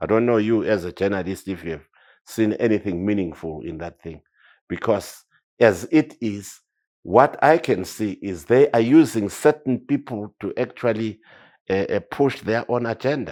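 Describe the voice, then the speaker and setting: A man speaks with a Zimbabwean accent. His intonation is lively and his pace moderate. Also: fairly low pitch for a man, big swings in loudness, very clean recording, silent background. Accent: Zimbabwean Ndebele English. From Zimbabwe, Matabeleland (Nkosikazi area). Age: 70s. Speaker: war veteran. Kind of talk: interview. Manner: animated, repetitive stammering.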